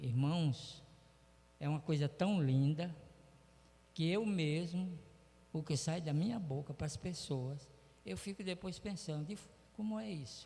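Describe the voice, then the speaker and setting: Pausing long and often, a man with fairly high pitch and a dark, mellow tone speaks at a fairly slow pace. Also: ordinary pitch variation. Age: 80s+. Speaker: church member giving testimony. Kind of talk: testimony. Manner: halting.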